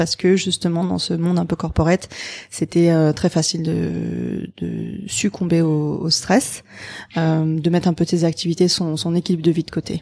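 A woman's fairly low, dark, mellow voice at a moderate pace, with monotone, flat intonation and a dry, close sound with no echo. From abroad, mostly Asia from age 10. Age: 30s. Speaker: startup founder. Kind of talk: interview.

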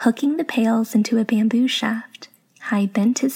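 This is read aloud in a natural voice. The intonation stays fairly even.

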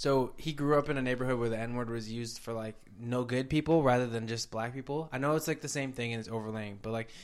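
Over a silent background in a very clean recording, a man talks at a very fast pace with medium pitch and fairly even intonation. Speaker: podcast host. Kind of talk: casual chat.

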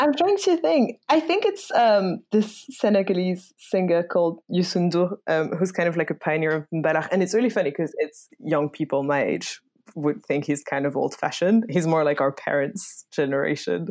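A woman's fairly low-pitched voice in a French accent, with lively intonation, a moderate pace, hardly any pauses and very even loudness, in a very clean recording with a silent background. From France. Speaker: podcast host. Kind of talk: casual chat.

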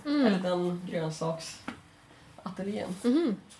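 A woman speaks over noticeable background noise. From northern Sweden (Kramfors, Ångermanland). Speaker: comic artist. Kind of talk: casual chat.

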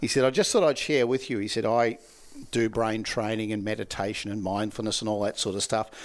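Speaking with an Australian accent, a man with a medium-pitched voice talks at a fairly quick pace with fairly even intonation. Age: 60s. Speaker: laughter yoga trainer. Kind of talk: interview conversation.

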